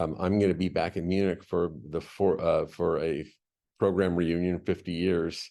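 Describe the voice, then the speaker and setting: At a moderate pace, a man speaks in a very deep, low voice, dark and mellow in tone, with monotone, flat intonation. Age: 60s. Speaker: panelist, international school educator. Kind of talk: panel discussion. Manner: halting, many repetitions.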